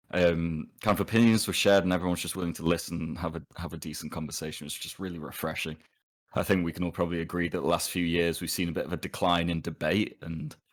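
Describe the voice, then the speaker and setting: A man with an English accent talks at a very fast pace in a very deep, low pitch with fairly even intonation. The recording is very clean, with a silent background. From England. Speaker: podcast guest. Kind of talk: casual chat.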